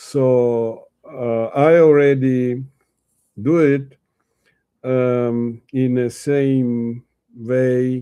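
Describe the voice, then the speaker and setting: Very slow and monotone, a man speaks with flat intonation and long, frequent pauses. His tone is dark and mellow. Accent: Russian. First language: Russian. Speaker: Yiddish literature teacher. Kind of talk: reading aloud with commentary. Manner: halting, many fillers.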